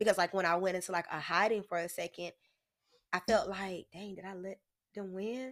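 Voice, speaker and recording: Using an ordinary speaking voice, a woman talks at a fairly quick pace with medium pitch and fairly even intonation. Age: 20s. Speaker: entrepreneur selling lingerie. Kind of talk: casual interview conversation. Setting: studio.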